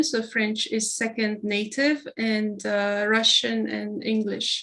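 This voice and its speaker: On a very clean recording with a silent background, a woman in a Persian accent speaks fairly slowly with a fairly high pitch and fairly even intonation. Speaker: hospital innovation executive. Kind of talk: interview. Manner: halting, many fillers.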